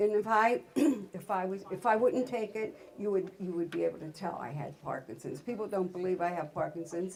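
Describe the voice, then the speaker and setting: A woman keeps a moderate pace and ordinary pitch variation as noticeable background noise plays underneath. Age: 70s. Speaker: workshop guest giving health testimony. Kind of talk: testimony. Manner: halting.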